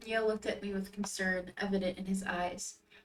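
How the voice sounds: Intonation here stays fairly even. It is a natural reading voice.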